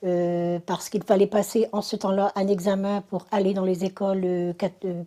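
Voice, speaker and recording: The delivery moves at a moderate pace with fairly even intonation. Its tone is dark and mellow. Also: woman. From northern France, Dunkirk area. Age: 60s. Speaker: religious convert. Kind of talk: testimony. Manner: halting, many fillers.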